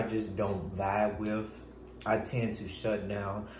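There is light background noise and audible room echo as a man speaks at a fairly low pitch. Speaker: YouTube vlogger. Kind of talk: casual chat. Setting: home, filming himself while eating. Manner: rambling, halting. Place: home room. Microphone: phone near.

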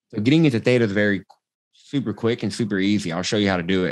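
A man talks very fast in an energetic tone with an American accent. His pitch is fairly low, and the background is quiet. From Texas, Austin; Texas. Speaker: transformational coach; podcast guest, coach. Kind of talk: casual interview chat; guided meditation, coach walking listener through eye-flutter theta induction. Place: home room. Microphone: video call.

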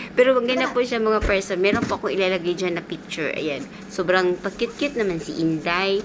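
Over noticeable background noise, a woman with a Philippine accent talks at a fairly quick pace and a medium pitch, with lively intonation and hardly any pauses. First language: Cebuano (speaking Tagalog). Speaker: domestic helper vlogger. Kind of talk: vlog voice-over. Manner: casual chatty.

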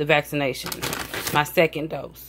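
The voice has fairly even intonation and a fairly bright tone. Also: woman.

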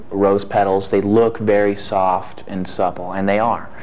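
The voice belongs to a man. It sits fairly low for a man. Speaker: interviewee. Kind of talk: interview answer. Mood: relaxed, reflective. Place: studio. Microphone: lapel.

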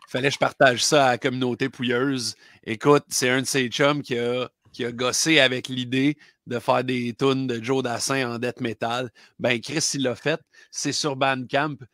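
A man with a Quebec accent, fairly slow and monotone, in a dry sound with no echo against a quiet background. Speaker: record store clerk and podcast co-host; podcast co-host. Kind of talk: casual chat. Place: home room.

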